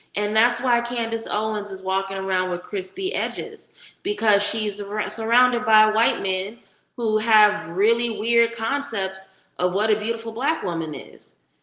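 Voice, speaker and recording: Audible room echo surrounds a woman who speaks with ordinary pitch variation. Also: fairly high pitch for a woman, moderate pace. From California. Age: 40s. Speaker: livestream host. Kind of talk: casual livestream chat. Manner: animated.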